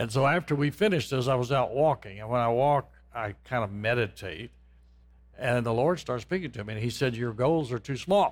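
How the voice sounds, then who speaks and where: An unremarkable speaking voice from a man, fairly quick and with lively intonation, on a very clean recording over a silent background. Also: medium pitch for a man. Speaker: property developer and former music professor. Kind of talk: testimony in interview. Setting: studio.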